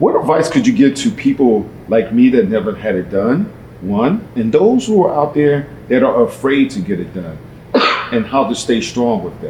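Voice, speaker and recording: A man with a medium pitch talks at a moderate pace, his pitch swinging very widely. Noticeable background noise runs underneath. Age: 50s. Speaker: interviewer. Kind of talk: interview.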